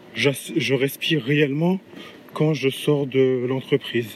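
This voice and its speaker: Amid noticeable background noise, a man talks at a medium pitch with fairly even intonation. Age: 30s. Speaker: podcaster and aspiring entrepreneur. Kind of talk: solo podcast monologue. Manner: halting, with many hesitations.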